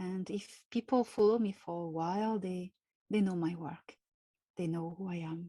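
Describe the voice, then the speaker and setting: In a very clean recording with a silent background, a woman with a French accent and a dark, mellow tone speaks at a fairly slow pace with ordinary pitch variation. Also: dry, close sound with no echo. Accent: French accent, weird way of talking. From France. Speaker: contactee, spiritual author. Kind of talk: interview. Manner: slow, careful.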